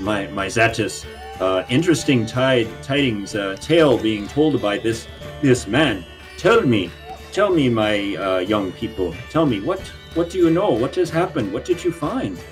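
A man's put-on character voice at medium pitch, with very wide pitch swings and clear music in the background. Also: moderate pace. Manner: warm, theatrical, hesitant with many pauses.

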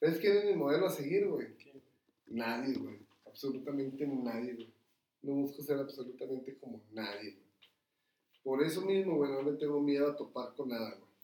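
With a Mexican accent, a man speaks at a fairly high pitch and a moderate pace in a dark, mellow tone. His loudness swings widely, and he takes long, frequent pauses. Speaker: restaurant owner. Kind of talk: casual chat.

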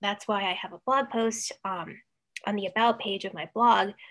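A woman's plain, everyday voice, medium in pitch with ordinary pitch variation. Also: very clean recording, silent background. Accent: American. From Ohio, Cleveland suburbs. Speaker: author and freelance writer. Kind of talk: casual interview.

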